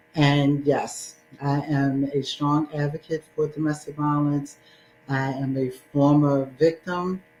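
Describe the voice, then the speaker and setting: Music runs in the background while a woman speaks at a very slow pace. Her pitch is very deep and low, and her intonation is monotone and flat. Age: 60s. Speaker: domestic violence advocate and speaker. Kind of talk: testimony.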